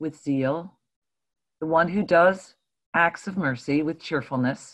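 Against a quiet background, the voice moves at a fairly slow pace. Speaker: church member. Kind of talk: reading scripture aloud and casual sharing; scripture reading. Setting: video call. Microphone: video call.

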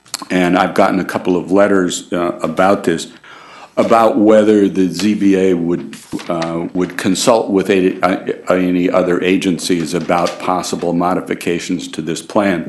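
A man speaks at a fairly slow pace in a very deep, low voice. His intonation stays monotone and flat over light background noise. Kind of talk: formal meeting statement. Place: hall. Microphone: podium.

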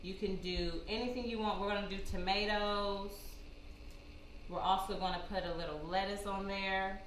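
A woman talks at a moderate pace in a monotone, flat intonation. Light background noise and audible room echo are present. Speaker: cooking show host. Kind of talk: tutorial. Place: kitchen. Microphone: camera far.

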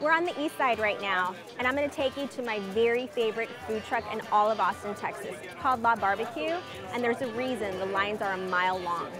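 A woman at a very fast pace, dry sound with no echo, clear music in the background. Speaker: tour host. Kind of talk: travel show presenting. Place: street. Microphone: lapel.

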